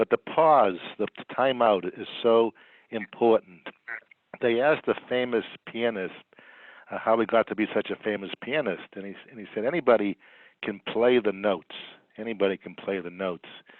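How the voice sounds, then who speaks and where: With a slight Boston accent, the speaker moves at a moderate pace with long, frequent pauses, ordinary pitch variation and big swings in loudness. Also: man, medium pitch for a man. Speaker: psychologist. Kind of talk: webinar presentation. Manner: halting with repetitions.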